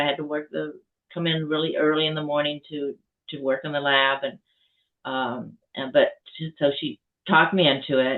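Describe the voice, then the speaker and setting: Her pace is moderate and her intonation flat and monotone. This woman speaks with a very deep, low pitch. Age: 80s+. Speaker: author and survivor advocate. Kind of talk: testimony. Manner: halting.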